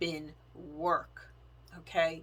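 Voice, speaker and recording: Her voice sits fairly low for a woman, with vocal fry and a bright, sharp tone. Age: 50s. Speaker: faith and planner vlogger. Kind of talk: testimony.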